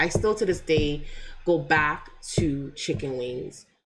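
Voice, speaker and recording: A woman speaks with a slight Jamaican accent. Her intonation is lively. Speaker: motivational youtuber. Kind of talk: casual live stream chat. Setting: live stream. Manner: animated.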